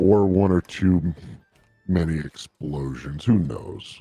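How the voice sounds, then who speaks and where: In a put-on character voice, a man booms with a very deep, low pitch. He keeps a fairly slow pace. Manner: gruff, bombastic.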